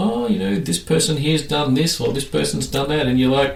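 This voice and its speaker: A man with an Australian accent talks at a fairly quick pace in a medium pitch, his intonation lively, with noticeable background noise behind him. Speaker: podcast host. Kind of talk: casual chat.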